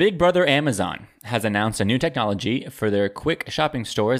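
Here is a man with an unremarkable speaking voice at a medium pitch, talking at a moderate pace with ordinary pitch variation. The recording is very clean, with a silent background. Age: young. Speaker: trivia podcast co-host. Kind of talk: casual chat.

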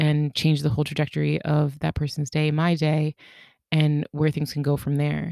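A woman's very deep, low voice with a dark, mellow tone, dry and close with no echo. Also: very clean recording, silent background. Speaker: podcast host. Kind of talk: solo monologue podcast. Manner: fast when excited; casual, laughs often.

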